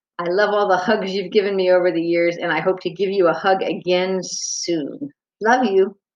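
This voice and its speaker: Using a plain, everyday voice, this woman talks at a moderate pace and a medium pitch. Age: 60s. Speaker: daughter sending birthday message. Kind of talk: personal birthday message.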